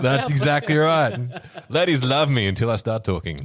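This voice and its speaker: A man speaks in an Australian accent at a medium pitch and moderate pace. His intonation is lively and his loudness very even. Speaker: podcast co-host. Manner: casual, profane banter.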